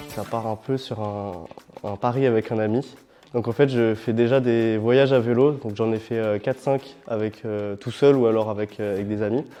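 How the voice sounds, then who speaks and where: A man speaks at a moderate pace and medium pitch with fairly even intonation. Noticeable background noise is present. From France, Paris region (Saint-Germain-en-Laye). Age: 20s. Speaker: student and long-distance cyclist. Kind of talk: interview testimony. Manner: hesitant, many fillers.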